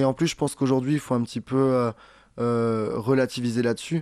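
An ordinary speaking voice from a man, medium in pitch at a fairly quick pace, with a dry, close sound with no echo and a quiet background. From southern France. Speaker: comedian and singer. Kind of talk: interview.

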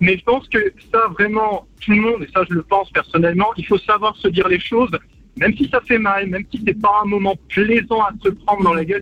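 With a dry, close sound and no echo, a man delivers a raised, projected voice at a high pitch, bright and sharp in tone, moving at a fairly quick pace with fairly even intonation. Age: 30s. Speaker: radio caller. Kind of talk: phone-in radio testimony. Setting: phone call. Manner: halting.

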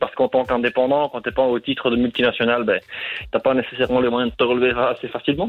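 A man at medium pitch with fairly even intonation, a plain, everyday voice. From Brussels, Belgium. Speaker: caller, bike shop owner. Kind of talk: phone call, explaining. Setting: phone call.

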